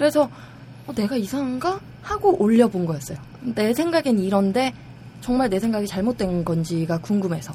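The speech moves at a moderate pace with very wide pitch swings, against noticeable background noise. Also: woman, medium pitch for a woman. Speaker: online forum member. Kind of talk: casual chat. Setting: studio.

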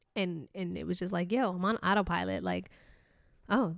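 This woman talks at a moderate pace in a medium pitch. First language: not English. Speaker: podcast co-host. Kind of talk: casual chat.

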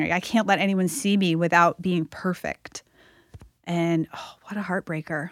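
A woman with an unremarkable speaking voice talks at a moderate pace, her pitch fairly low and her intonation fairly even, in a dry, close sound with no echo. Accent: American. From US Northeast (Massachusetts). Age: 40s. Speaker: author and fitness coach. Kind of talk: interview conversation.

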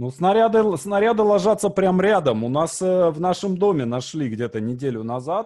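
With a dark, mellow tone, this man's voice makes very wide pitch swings. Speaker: podcast host. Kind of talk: casual interview chat.

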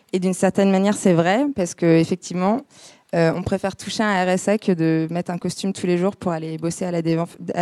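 Dry and close with no echo, and very cleanly recorded against a silent background, a woman speaks fairly quickly in a fairly low pitch, her tone dark and mellow, her intonation fairly even. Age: 20s. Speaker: public speaker. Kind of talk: talk to an audience.

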